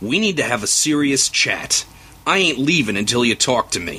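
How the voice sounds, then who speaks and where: Using a put-on character voice, a man talks at a moderate pace from a medium pitch with very wide swings, over light background noise. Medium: read story. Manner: blunt, aggressive.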